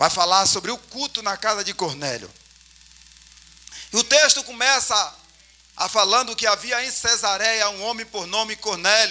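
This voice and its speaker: Raised and projected, a man's high voice comes at a moderate pace with ordinary pitch variation and long, frequent pauses, over noticeable background noise. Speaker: preacher. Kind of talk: sermon. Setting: church.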